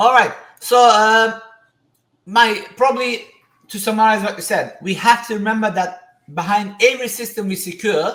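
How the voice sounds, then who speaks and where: With a non-native accent, the speaker moves along at a moderate pace. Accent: non-native accent, self-noted. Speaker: podcast host. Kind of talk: interview podcast.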